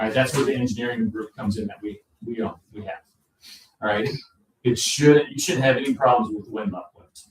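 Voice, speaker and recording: The speech comes at a fairly quick pace, broken by long, frequent pauses, with big swings in loudness. The voice is somewhat breathy, with ordinary pitch variation. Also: man, medium pitch for a man. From Indiana (LaPorte). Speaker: roofing contractor. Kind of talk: sales pitch. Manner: fast.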